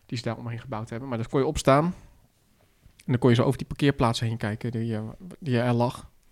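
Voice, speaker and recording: Very fast speech from a man at a medium pitch, broken by long, frequent pauses, with fairly even intonation. The recording is very clean with a silent background. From West-Brabant, Netherlands. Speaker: podcast co-host. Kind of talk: casual chat.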